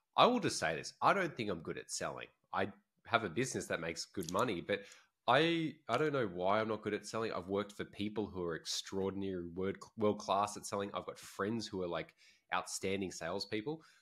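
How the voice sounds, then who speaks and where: The recording is very clean, with a silent background. A man talks at a fairly quick pace with a fairly low pitch. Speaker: podcast co-host. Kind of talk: casual chat. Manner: loud and fast; expressive.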